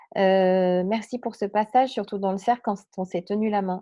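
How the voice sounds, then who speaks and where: A woman's voice sits at a medium pitch as she talks at a moderate pace. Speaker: spiritual medium and meditation guide. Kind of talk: live stream chat after guided meditation. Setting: live stream. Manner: hesitant, many fillers.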